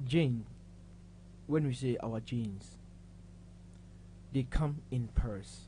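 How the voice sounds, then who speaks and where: The delivery is very slow. Long pauses come often. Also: man. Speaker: pharmacist. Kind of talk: health explanation on a talk show.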